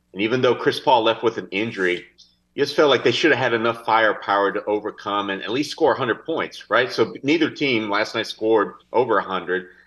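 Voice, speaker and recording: A man with an unremarkable speaking voice at a medium pitch, ordinary pitch variation and a fairly quick pace, over a quiet background. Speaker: sports editor guest.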